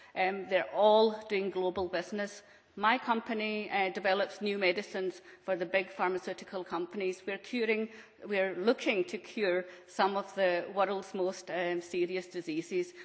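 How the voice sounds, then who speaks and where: In a Scottish accent, a woman speaks at medium pitch and a moderate pace. Her intonation is monotone and flat, with noticeable background noise. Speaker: business owner on a panel. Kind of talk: panel discussion. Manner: hesitant, many fillers.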